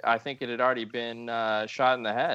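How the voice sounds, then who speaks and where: Music plays in the background. A man with a medium pitch talks in an American accent. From US West Coast, San Diego. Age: 40s. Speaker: comics podcast co-host. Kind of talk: casual chat.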